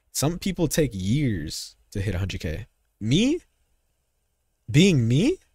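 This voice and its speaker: A man with an American accent speaks in a somewhat breathy voice. The recording is very clean, with a silent background. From United States. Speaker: gaming streamer. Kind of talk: live stream chat. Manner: animated.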